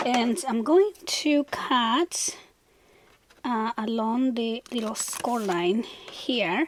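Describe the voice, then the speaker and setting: A woman speaks very slowly in a high pitch with lively intonation. Noticeable background noise runs beneath her. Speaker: crafting channel host. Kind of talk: tutorial. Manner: casual, instructive.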